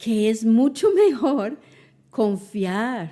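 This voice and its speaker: A woman's fairly high voice with a dark, mellow tone at a very slow pace, in a very clean recording with a silent background. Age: 70s. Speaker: podcast host. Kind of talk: podcast interview.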